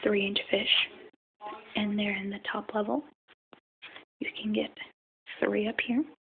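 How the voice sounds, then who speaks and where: Soft-spoken and soothing, this voice moves at a very slow pace with long, frequent pauses. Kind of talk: tutorial on setting up a freshwater tank. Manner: soft-spoken, relaxing; whispery, soothing.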